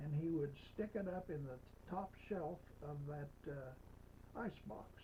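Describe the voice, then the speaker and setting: At a very slow pace, a man speaks in a fairly high pitch, his voice somewhat breathy. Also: ordinary pitch variation. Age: old. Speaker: storytelling grandfather. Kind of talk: personal history storytelling. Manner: slow, folksy, hesitant.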